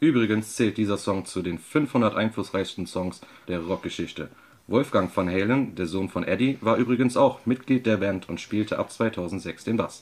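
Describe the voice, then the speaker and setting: Talking at a moderate pace, a man with an unremarkable speaking voice has a fairly low pitch and ordinary pitch variation. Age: 30s. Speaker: guest radio presenter. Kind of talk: scripted radio presentation.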